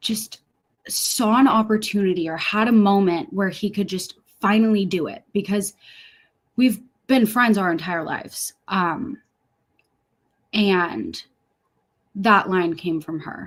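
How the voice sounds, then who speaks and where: A woman with an American accent speaks at a fairly slow pace and medium pitch, somewhat breathy, with ordinary pitch variation and long, frequent pauses, in a very clean recording with a silent background. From US Pacific Northwest, Seattle. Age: 20s. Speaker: singer and actress. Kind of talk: interview testimony.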